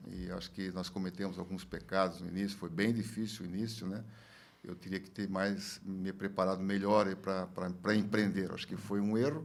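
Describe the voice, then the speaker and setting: A man's very deep, low voice moves along at a moderate pace. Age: 70s. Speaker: former industry federation president, businessman. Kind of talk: podcast interview. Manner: halting, many fillers and repetitions.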